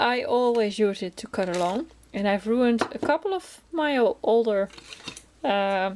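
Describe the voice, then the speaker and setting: A woman speaks in a Dutch accent at a fairly high pitch. Her pace is fairly slow and her intonation lively. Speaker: crafting vlogger. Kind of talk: casual chat. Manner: chatty, hesitant with many fillers.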